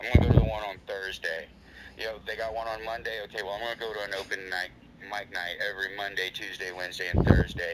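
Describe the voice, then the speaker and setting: A man talks at a very fast pace. Loud background noise runs under his voice. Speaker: guest. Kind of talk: interview answer.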